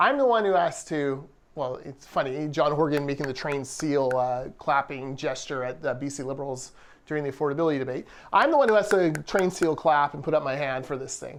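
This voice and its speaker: With an ordinary speaking voice, a man talks at a fairly quick pace in a fairly high pitch, showing ordinary pitch variation and big swings in loudness. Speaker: business association communications vice president, podcast co-host. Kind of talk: casual podcast talk.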